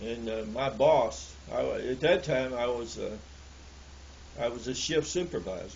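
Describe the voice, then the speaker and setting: With a Southern US accent, a man speaks at a fairly slow pace amid audible room echo. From US South, Alabama. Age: 70s. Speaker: elderly storyteller recalling the past. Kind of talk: oral history interview. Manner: halting, many repeated words.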